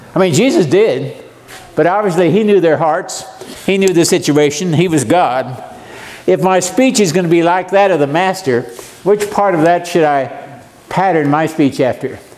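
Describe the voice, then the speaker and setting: Amid noticeable background noise and audible room echo, a man with a high pitch talks at a moderate pace with very even loudness. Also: ordinary pitch variation. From Arizona. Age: 70s. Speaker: preacher. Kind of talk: sermon. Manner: animated.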